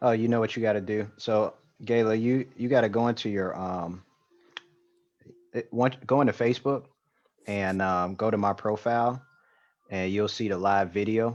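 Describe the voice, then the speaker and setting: A man speaks at a moderate pace in a fairly low voice. His intonation stays fairly even, broken by long, frequent pauses. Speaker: livestream interview host. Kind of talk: casual chat. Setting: video call. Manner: soft-spoken. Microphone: too quiet for the guest.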